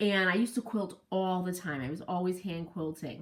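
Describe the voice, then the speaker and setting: A woman speaks with lively intonation. She has an ordinary speaking voice. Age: 60s. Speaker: quilting instructor. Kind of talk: tutorial. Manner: casual, conversational with fillers.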